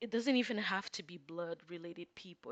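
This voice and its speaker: Speaking at a moderate pace with a non-native accent, a woman with a fairly low voice sounds dry and close, with no echo. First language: not English. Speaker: tarot reader. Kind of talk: casual tarot reading. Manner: hesitant, many fillers.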